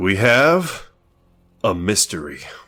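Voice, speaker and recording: A man uses a put-on character voice at a fairly low pitch, swinging his pitch very widely. The recording is very clean, with a silent background. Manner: serious.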